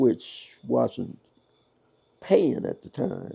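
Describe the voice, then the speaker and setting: A man with a Kentucky accent. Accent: Southern US (Kentucky). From Louisville, Kentucky. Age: 80s+. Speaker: pastor. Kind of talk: interview answer.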